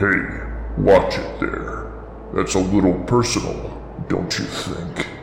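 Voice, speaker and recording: A man's rumbling, put-on character voice with clear echo and clear background noise. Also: fairly slow pace. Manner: annoyed, mildly indignant.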